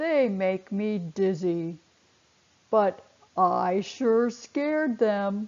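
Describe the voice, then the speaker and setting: A woman's put-on character voice, raspy and medium-pitched, at a very slow pace. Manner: slow, drowsy.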